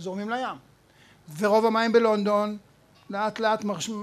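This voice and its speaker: This man has a high voice. He keeps his delivery at a moderate pace. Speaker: professor. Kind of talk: public talk before a live audience. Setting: bar with audience.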